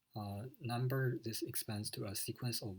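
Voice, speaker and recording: At a fairly slow pace, a man with a non-native accent speaks in a somewhat breathy voice with fairly even intonation. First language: not English. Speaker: student. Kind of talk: lecture. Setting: recorded video lecture with slides. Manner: hesitant, many fillers.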